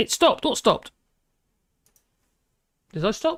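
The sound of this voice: The talking moves at a slow pace. The pitch swings widely up and down.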